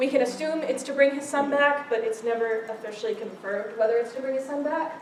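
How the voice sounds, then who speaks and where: A woman's high-pitched voice at a very fast pace, with ordinary pitch variation, hardly any pauses, audible room echo and noticeable background noise. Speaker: club meeting presenter. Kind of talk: informal presentation to a group.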